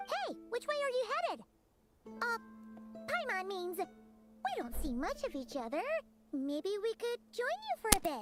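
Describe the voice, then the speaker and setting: A put-on character voice pitched extremely high, swooping through very wide pitch swings at a moderate pace. Loud music plays in the background. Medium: game stream. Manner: friendly, eager.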